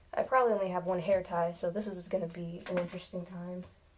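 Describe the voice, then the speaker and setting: Speaking at a moderate pace, a woman has a medium-pitched, somewhat breathy voice. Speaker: beauty vlogger. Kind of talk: storytime hair tutorial. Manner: casual.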